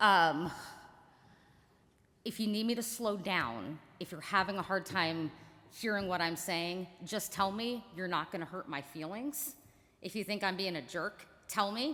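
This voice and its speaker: Loud and bright with a sharp tone, a woman at medium pitch uses lively intonation, speaking at a fairly slow pace with long, frequent pauses. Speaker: attorney on a panel. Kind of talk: panel discussion.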